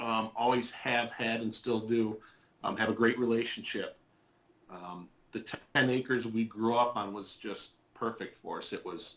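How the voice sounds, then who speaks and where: A man with an Upper Midwest accent talks at a moderate pace in a monotone, flat way, with long, frequent pauses and big swings in loudness. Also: medium pitch for a man. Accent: Upper Midwest American. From southwest Michigan. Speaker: interviewee sharing life story. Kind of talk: testimony interview. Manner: hesitant, many fillers and repeats.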